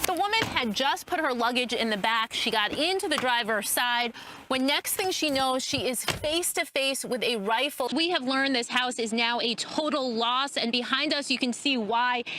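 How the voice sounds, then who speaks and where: A woman's raised, projected voice, high in pitch, with an American accent, very even loudness, and a moderate pace, over noticeable background noise. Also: ordinary pitch variation, hardly any pauses. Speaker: TV news reporter. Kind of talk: broadcast news reporting.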